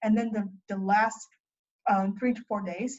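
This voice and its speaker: A woman's medium-pitched voice in a Chinese accent, with ordinary pitch variation at a moderate pace. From China. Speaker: college student. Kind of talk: interview.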